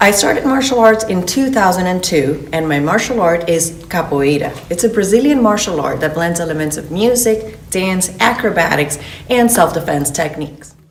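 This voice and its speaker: Delivered at a moderate pace with hardly any pauses, the lively intonation comes through audible room echo and noticeable background noise. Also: woman, medium pitch for a woman. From Venezuela. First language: Spanish. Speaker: fitness coach. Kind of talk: promotional orientation talk.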